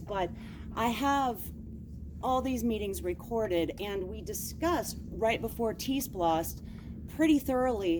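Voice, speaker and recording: A woman is speaking. The room echo is audible. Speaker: citizen at public comment. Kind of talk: public comment. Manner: loud.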